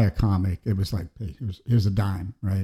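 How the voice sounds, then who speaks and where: Somewhat breathy, with a dark, mellow tone, a man with an American accent speaks at a fairly quick pace. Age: 60s. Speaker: painter and illustrator. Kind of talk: casual chat. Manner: halting, many fillers and repeated words.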